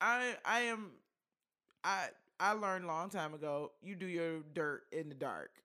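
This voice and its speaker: A woman with an American accent and a bright, sharp tone, at a fairly slow pace with ordinary pitch variation. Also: fairly low pitch for a woman. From Detroit, US. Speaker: podcast co-host. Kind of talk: casual chat.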